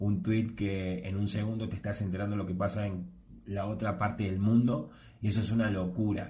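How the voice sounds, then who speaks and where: This man talks at a fairly low pitch, and audible room echo follows his words. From Argentina. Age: 30s. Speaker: podcast host. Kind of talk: solo monologue podcast.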